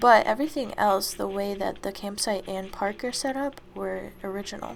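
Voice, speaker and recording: The delivery keeps a moderate pace. Behind it, music can be heard. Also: woman, medium pitch for a woman, ordinary pitch variation. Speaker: gaming video creator. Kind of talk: casual game walkthrough narration. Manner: casual, hesitant fillers.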